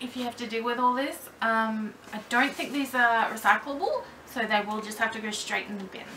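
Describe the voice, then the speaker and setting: Against light background noise, a high-pitched woman talks at a moderate pace with lively intonation. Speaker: doll collector vlogger. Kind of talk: casual vlog tutorial. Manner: loud, projecting. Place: home room. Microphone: camera mic far from speaker; camera far.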